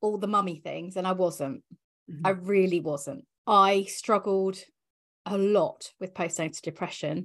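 A woman speaks at a moderate pace in an ordinary speaking voice, medium in pitch with ordinary pitch variation. The background is quiet. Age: 40s. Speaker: business coach and mentor. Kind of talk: casual interview.

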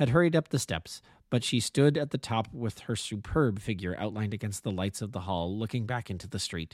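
Using a normal speaking voice, a man with a fairly low pitch talks at a fairly quick pace with lively intonation, the sound dry and close with no echo on a very clean recording with a silent background. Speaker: amateur audiobook narrator. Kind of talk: audiobook narration, read aloud. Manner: measured, storytelling pace, voicing characters in dialogue.

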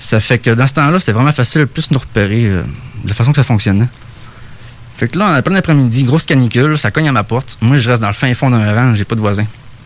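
The delivery is very fast, with ordinary pitch variation and very even loudness. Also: man, medium pitch for a man. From Saguenay, Quebec. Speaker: UFO witness. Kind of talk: storytelling. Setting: studio.

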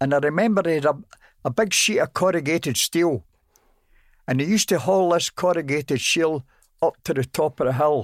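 On a very clean recording with a silent background and a dry, close sound with no echo, a man speaks at a fairly high pitch and a fairly quick pace, with ordinary pitch variation, very even loudness and long, frequent pauses. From Glasgow, Scotland. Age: 90s. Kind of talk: casual interview recounting memories.

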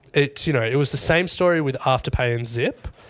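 A man's pitch varies in an ordinary way as he speaks fairly quickly. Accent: Australian. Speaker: podcast co-host. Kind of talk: casual chat.

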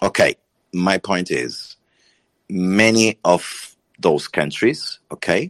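Against a quiet background, a man with a Portuguese accent speaks in a very deep, low pitch with a dry, close sound and no echo. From Portugal. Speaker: panelist on political discussion. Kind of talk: live audio room discussion. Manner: halting.

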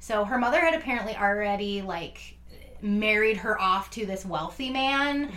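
The voice shows ordinary pitch variation while noticeable noise runs in the background. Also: woman. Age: 30s. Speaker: true crime podcast co-host. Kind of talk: casual chat. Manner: animated.

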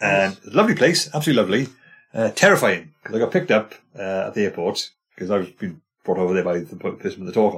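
Music plays in the background as a man talks at a very fast pace. His pitch is fairly low and his intonation lively. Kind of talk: casual chat.

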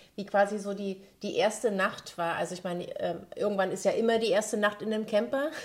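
A woman's plain, everyday voice at a medium pitch, moderate pace and ordinary pitch variation. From Saxony-Anhalt, Bitterfeld. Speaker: podcast host. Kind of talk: casual interview.

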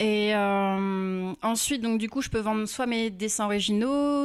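A woman has an ordinary speaking voice at a medium pitch with ordinary pitch variation. She speaks at a fairly slow pace on a very clean recording with a silent background. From Normandy, France (Rouen). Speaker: illustrator. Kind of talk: interview.

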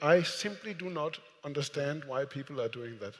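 A man talks at a moderate pace in a plain, everyday voice. His intonation is lively. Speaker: moderator and editor. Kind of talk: moderated live conversation. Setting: stage with audience.

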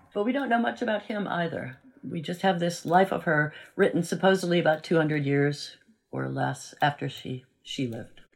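Speaking at a moderate pace in an American accent, the voice carries vocal fry and lively intonation. The recording is very clean, with a silent background. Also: woman, fairly low pitch for a woman. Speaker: university professor of religion and history. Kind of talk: interview, explanatory talk.

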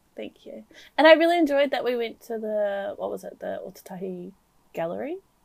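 A woman with a New Zealand accent talks at a fairly quick pace. Her loudness swings widely. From New Zealand, Waikato. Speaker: podcast co-host. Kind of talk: casual chat.

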